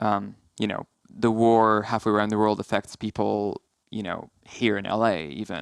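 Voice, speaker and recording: A man mumbles at a moderate pace, his fairly low voice keeping a fairly even intonation. The sound is dry and close with no echo, over a quiet background. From Syria (Aleppo). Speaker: film producer. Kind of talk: casual interview chat. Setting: podcast studio. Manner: mumbly; halting, many fillers.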